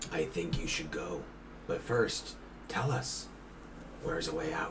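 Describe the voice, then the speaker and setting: Through loud background noise, a man does a put-on character voice at a medium pitch and a moderate pace. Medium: actual play. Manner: curt, cold.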